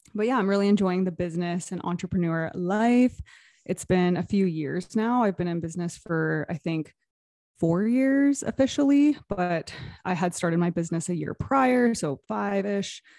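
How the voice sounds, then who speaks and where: A woman's dark, mellow tone in a Canadian accent, dry and close with no echo, against a quiet background. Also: medium pitch for a woman, lively intonation, moderate pace. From Canada, Toronto area. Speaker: intuitive business mentor and energy healer. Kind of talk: casual interview chat.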